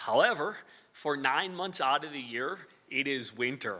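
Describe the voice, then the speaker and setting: Speaking at a moderate pace, a man uses a fairly high voice with a bright, sharp tone. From US Midwest, northern Wisconsin. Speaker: university professor. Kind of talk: lecture. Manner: hesitant, many fillers.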